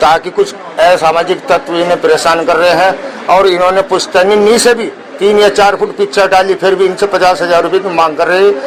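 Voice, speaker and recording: The man's voice is high-pitched, with fairly even intonation and a moderate pace. Noticeable background noise runs behind him. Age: 60s. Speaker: neighbour witness. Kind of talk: news interview testimony.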